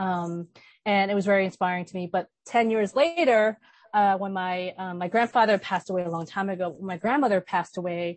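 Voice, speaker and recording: A woman with an American accent and a plain, everyday voice, medium in pitch, fairly quick in pace, with fairly even intonation. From New York City, Brooklyn. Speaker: filmmaker and activist. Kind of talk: panel discussion.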